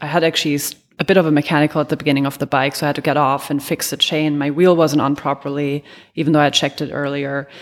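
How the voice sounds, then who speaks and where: A woman's very deep, low voice in a German accent, very fast and monotone, with flat intonation. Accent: faint German. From Germany. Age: 30s. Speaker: amateur triathlete. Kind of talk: interview.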